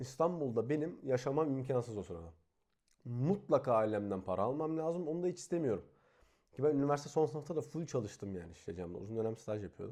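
A man with a dark, mellow tone and medium pitch talks very fast against a quiet background, his pitch swinging very widely and his loudness rising and falling sharply. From Turkey, İzmir. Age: 20s. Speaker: YouTuber. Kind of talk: vlog monologue. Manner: casual, conversational.

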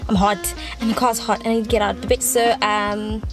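A woman at a fairly quick pace, dry with no echo, clear music in the background. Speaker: vlogger. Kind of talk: casual vlog chat. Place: car. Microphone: phone near.

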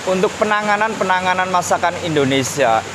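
Over clear background noise, the speaker talks at a fairly quick pace with lively intonation. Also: man, high pitch for a man.

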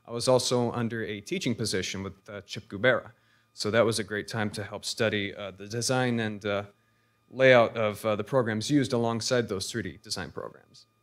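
Over a quiet background, a man with a normal speaking voice talks fairly quickly, his intonation fairly even and his loudness swinging a lot. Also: medium pitch for a man. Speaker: recent graduate, 3D designer; presenter. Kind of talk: public talk. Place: hall.

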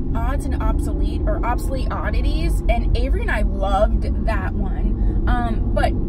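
Hardly pausing, a woman speaks at a moderate pace in a dry sound with no echo, over loud background noise. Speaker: beauty vlogger. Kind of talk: casual vlog chat. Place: car. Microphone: phone near.

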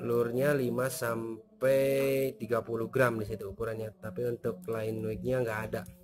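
With a medium pitch and little pitch movement, a man speaks at a moderate pace in a slightly mellow tone.

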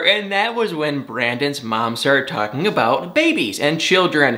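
With an American accent, a man talks at a fairly quick pace, making very wide pitch swings. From Michigan, US. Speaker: celebrity gossip YouTuber. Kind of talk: casual TV recap vlog. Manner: animated. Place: home room.

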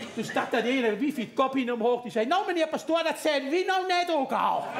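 A man's extremely high-pitched voice at a fairly quick pace, with lively intonation over noticeable background noise. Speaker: comedy performer. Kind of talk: stage comedy storytelling. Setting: live theatre audience. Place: stage. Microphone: headset.

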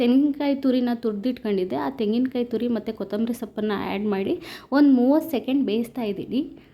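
A woman's high-pitched voice has a dark, mellow tone and ordinary pitch variation. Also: very clean recording, silent background. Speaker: cooking vlogger. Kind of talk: cooking tutorial.

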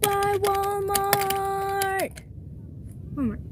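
No echo colors the dry sound. Background noise is noticeable. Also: woman. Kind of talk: casual play narration. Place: car. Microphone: phone near.

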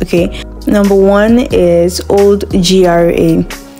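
Faint music plays in the background as a woman with a fairly low pitch speaks with ordinary pitch variation. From Nigeria. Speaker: voice actor. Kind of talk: casual talk to camera. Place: home room. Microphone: phone near.

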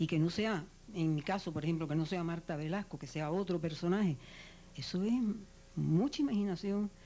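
A woman is speaking. Her tone is dark and mellow. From Cuba. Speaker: radio actress and announcer. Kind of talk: TV interview. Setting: TV studio. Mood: warm, reflective. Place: studio. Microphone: handheld.

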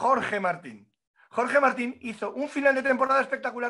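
A man speaks with an extremely high pitch and a bright, sharp tone. His pace is moderate against a quiet background. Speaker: motorcycle racing pundit. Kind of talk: casual chat. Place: home room. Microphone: webcam.

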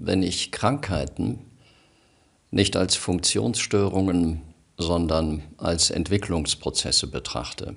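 Against a quiet background, a man with a very deep, low pitch and vocal fry speaks at a very slow pace with long, frequent pauses. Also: lively intonation. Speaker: radio presenter and news reader. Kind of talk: personal monologue to camera, emotional address. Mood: calm, earnest, measured. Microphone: studio mic.

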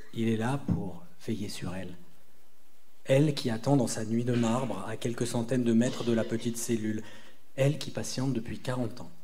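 Over light background noise, a man talks at a moderate pace with fairly even intonation and long, frequent pauses. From southeastern France near Italy. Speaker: novelist. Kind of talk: reading aloud. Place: stage. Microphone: camera far.

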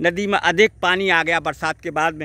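Raised and projected, a man's bright, sharp voice comes through a very clean recording, with dry, close sound, no echo and a silent background. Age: 60s. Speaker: ayurvedic herb video blogger. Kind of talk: outdoor vlog talk. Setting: outdoors by a river.

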